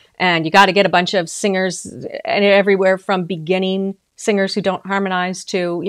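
Delivered at a fairly quick pace, this voice has an American accent and a flat, monotone intonation. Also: woman. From US Midwest, North Dakota. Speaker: vocal coach. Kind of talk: livestream vocal training. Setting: livestream video.

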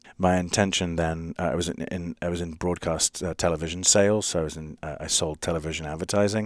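A man's very deep, low voice at a fairly quick pace, dry and close with no echo, on a very clean recording with a silent background. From London, England. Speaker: startup founder and coding bootcamp CEO. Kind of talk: interview conversation.

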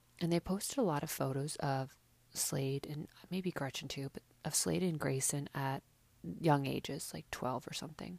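A woman talks at a moderate pace in a very deep, low pitch with ordinary pitch variation. The recording is very clean with a silent background, its sound dry and close with no echo. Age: 30s. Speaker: podcast host recapping reality TV. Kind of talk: casual solo recap monologue. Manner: chatty, informal.

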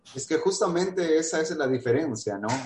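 Speech moves at a fairly quick pace. Its pitch varies in an ordinary way. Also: man. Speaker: radio interview host. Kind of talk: interview. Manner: hesitant with filler words.

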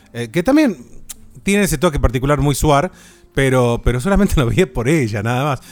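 A man with a plain, everyday voice talks at a moderate pace, his fairly high pitch moving with lively intonation. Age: 30s. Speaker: podcast host. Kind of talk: casual chat.

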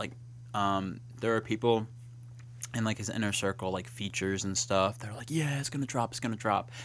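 This man has an unremarkable speaking voice at a medium pitch, with fairly even intonation. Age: 20s. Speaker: college student hosting a campus talk show. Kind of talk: casual chat. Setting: campus studio broadcast.

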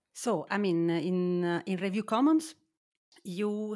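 A woman speaks with an Italian accent. Her pitch variation is ordinary. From Italy, Naples. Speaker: journal managing editor. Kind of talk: interview. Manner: halting.

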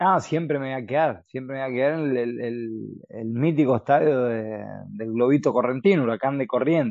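A man's voice at medium pitch, moderate pace and ordinary pitch variation. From Chaco, Argentina. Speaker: podcast co-host and former footballer. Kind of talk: casual chat. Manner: halting.

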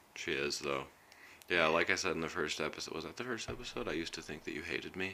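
A man's very deep, low voice with a bright, sharp tone and vocal fry, at a very fast pace with ordinary pitch variation. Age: 30s. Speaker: podcast host. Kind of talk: casual chat.

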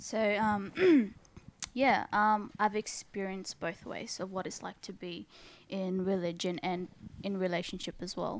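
A woman with an Australian accent talks at a fairly slow pace in a medium pitch, with ordinary pitch variation and big swings in loudness. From Sydney, Australia. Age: 20s. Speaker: church member sharing testimony. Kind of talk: testimony.

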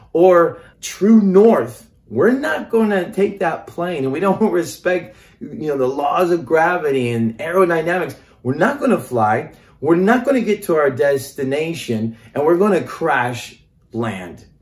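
A man with an American accent, high-pitched, very wide pitch swings, a fairly slow pace, and audible room echo. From Norway and Mexico (American parents). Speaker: pastor. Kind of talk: sermon-style podcast teaching.

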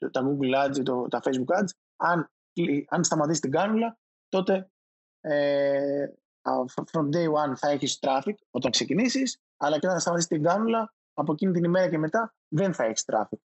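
A man with a plain, everyday voice, fairly high pitch, lively intonation, moderate pace and very even loudness. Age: 30s. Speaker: digital marketing manager. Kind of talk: interview.

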